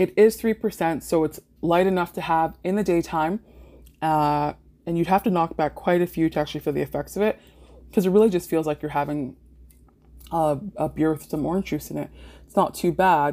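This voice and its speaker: The woman's tone is dark and mellow, with a Toronto accent. She moves at a fairly quick pace but takes long, frequent pauses. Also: ordinary pitch variation. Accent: Canadian (Toronto area). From Canada, Mississauga, Ontario. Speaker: podcast host. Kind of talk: casual solo monologue.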